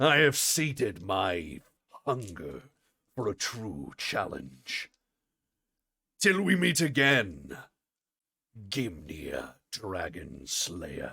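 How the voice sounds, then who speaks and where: In a put-on, raspy character voice, a man speaks very slowly. His fairly low pitch swings very widely. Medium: actual play. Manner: formal, dignified.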